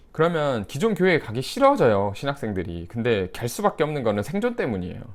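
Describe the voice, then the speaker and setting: On a very clean recording with a silent background, a man talks very fast. His intonation is lively. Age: 30s. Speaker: YouTuber and former pastor. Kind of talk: casual commentary monologue. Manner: conversational, mixed casual and polite speech.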